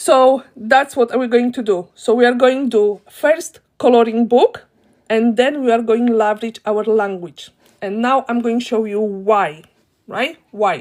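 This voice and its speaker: Speaking with a Polish accent, a woman uses a fairly high pitch and an animated tone at a fairly slow pace. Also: ordinary pitch variation. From Poland. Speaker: online business teacher, live streamer. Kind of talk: live stream tutorial. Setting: live video stream.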